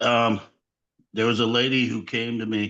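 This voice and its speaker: Against a quiet background, a man with an American accent speaks at a fairly slow pace and medium pitch, in a bright, sharp tone. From US Pacific Northwest, Portland, Oregon. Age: 60s. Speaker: pastor. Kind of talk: webinar question from attendee. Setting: video call.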